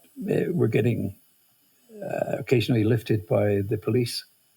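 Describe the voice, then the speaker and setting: Speaking at a medium pitch, a man uses lively intonation and a dark, mellow tone marked by vocal fry. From Scotland, Highlands (Inverness). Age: 70s. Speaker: charity founder. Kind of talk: interview. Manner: hesitant, many fillers.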